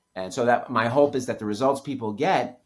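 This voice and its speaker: In a very clean recording with a silent background, a man with an American accent talks at a fairly quick pace using an ordinary speaking voice and ordinary pitch variation. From New York City. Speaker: author. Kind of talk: podcast interview.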